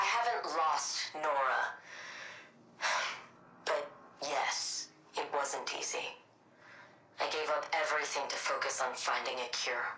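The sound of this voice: A woman's put-on character voice, low-pitched, bright and sharp, slow with long, frequent pauses, ordinary pitch variation, and strong room echo.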